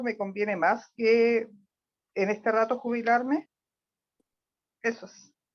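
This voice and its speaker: The woman's voice is fairly high. She talks at a fairly slow pace. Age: 60s. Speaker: audience member. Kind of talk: audience question.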